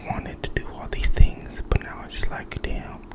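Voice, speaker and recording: With noticeable noise in the background, the speaker is whispering. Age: 20s. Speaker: ASMR creator. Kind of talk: ASMR casual talk. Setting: at home. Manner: soft-spoken.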